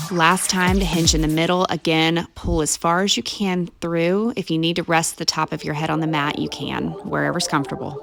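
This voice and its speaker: Over music in the background, a woman talks at a moderate pace with hardly any pauses and fairly even intonation. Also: fairly low pitch for a woman. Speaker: fitness instructor. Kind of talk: guided stretch workout instruction.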